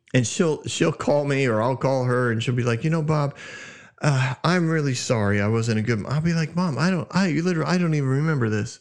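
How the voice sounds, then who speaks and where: Animated and very fast, a man with a fairly high voice talks with ordinary pitch variation. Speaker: Bible teaching podcast host. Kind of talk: Bible teaching monologue. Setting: studio. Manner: loud.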